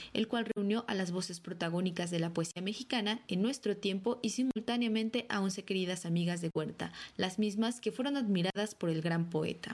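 A normal speaking voice from a woman, medium in pitch, with ordinary pitch variation and a fairly quick pace. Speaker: radio reporter. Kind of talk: news reading. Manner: formal.

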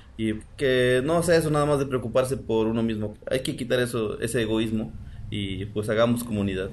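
There is audible room echo. A man speaks at medium pitch. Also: ordinary pitch variation, moderate pace. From Mexico, Morelos (Xoxocotla). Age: 40s. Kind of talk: recorded statement.

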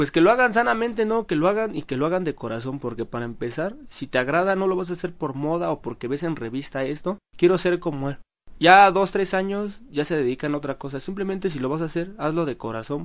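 A man speaks at a fairly quick pace with hardly any pauses. His high pitch carries lively intonation. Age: 20s. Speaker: airbrush artist. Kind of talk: interview.

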